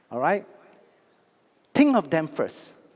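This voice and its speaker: A man is speaking. His tone is animated. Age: 60s. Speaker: network marketing speaker. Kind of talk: motivational talk. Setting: stage with audience.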